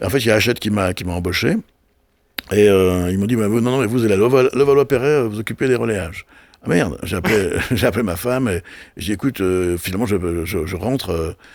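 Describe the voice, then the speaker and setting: A man's fairly low-pitched voice at a very fast pace, with ordinary pitch variation and big swings in loudness. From Brittany, France. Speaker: television and festival producer. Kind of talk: casual interview. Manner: halting, many repetitions.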